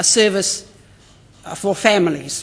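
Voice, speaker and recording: The woman talks very slowly. Her pitch sits at a medium level. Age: 80s+. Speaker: Māori education leader. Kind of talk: conference speech. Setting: stage with audience. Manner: halting.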